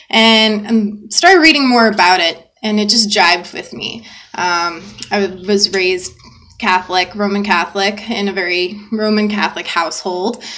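Over noticeable background noise, a voice with an American accent moves at a moderate pace with ordinary pitch variation. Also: woman, medium pitch for a woman. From US South, Georgia. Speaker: podcast co-host. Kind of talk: casual chat.

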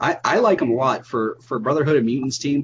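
A man talks at a fairly quick pace. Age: 20s. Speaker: YouTube content creator. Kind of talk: casual chat. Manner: hesitant, many fillers.

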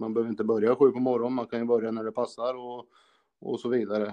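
The speaker is a man with a medium pitch. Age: 40s. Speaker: car repair shop owner. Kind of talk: casual interview.

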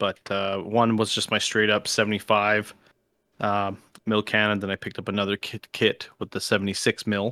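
Man with a Canadian accent, fairly low pitch, bright, sharp tone, monotone, flat intonation, dry, close sound with no echo. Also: very clean recording, silent background. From Canada. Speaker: podcast co-host, wargaming hobbyist. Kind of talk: casual chat.

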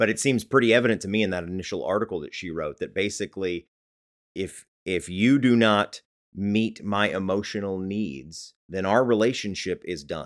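This man has an ordinary speaking voice with a fairly low pitch and ordinary pitch variation. The recording is very clean, with a silent background. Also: moderate pace. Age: middle-aged. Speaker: church staff and podcast co-host. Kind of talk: casual chat.

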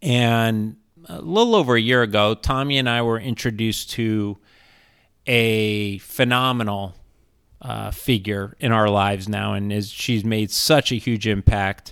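A man has an ordinary speaking voice with fairly low pitch and fairly even intonation, at a fairly slow pace. The recording is very clean, with a silent background. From US West Coast, San Diego. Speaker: financial advisor, podcast host. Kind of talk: casual chat.

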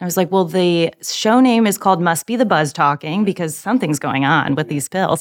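A woman with an American accent speaks in a plain, everyday voice, fairly low-pitched for a woman, with lively intonation at a fairly quick pace and hardly any pauses. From Virginia, US South. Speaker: translation project manager. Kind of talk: casual chat.

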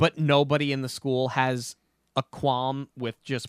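Speaking with an American accent, a man talks at a fairly slow pace in a monotone, flat delivery, with a dry, close sound and no echo. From US Northeast. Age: 30s. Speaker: podcast host. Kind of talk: casual chat.

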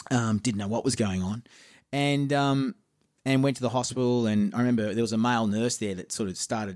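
Man with an Australian accent at a fairly quick pace, ordinary pitch variation, on a very clean recording with a silent background. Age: 50s. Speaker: musician and producer. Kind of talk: casual interview chat.

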